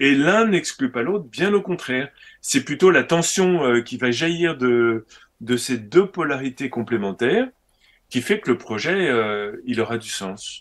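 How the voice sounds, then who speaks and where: Speaking at a very slow pace, a man's fairly high voice moves in very wide pitch swings. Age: 60s. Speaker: organic farmer and trainer. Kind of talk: interview conversation. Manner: animated.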